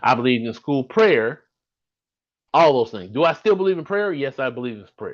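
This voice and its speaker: Against a quiet background, a man with an American accent speaks fairly quickly in an animated tone at a fairly high pitch, with very wide pitch swings and big swings in loudness. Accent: slight Southern accent, some say none. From US South, Birmingham, Alabama. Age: 50s. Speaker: podcast host. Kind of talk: solo live stream monologue. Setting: live stream from home.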